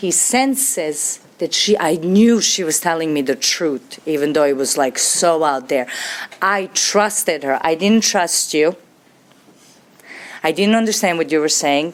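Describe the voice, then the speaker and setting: Fairly slow, lively speech from a woman with a Serbian accent, fairly low in pitch, amid noticeable background noise. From Serbia, Belgrade. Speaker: recovering alcoholic speaker. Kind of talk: testimony.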